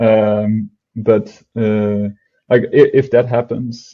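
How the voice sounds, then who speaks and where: A man speaks with a non-native accent in a fairly low pitch. His intonation is flat and monotone. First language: not English. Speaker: product team member, DeFi explainer. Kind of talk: casual explainer chat. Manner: halting, many fillers.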